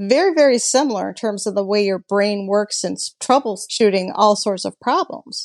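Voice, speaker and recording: A woman speaks at a medium pitch in a plain, everyday voice. The sound is dry and close with no echo, over a quiet background. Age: 50s. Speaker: hot rod builder and restoration business owner. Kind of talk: interview.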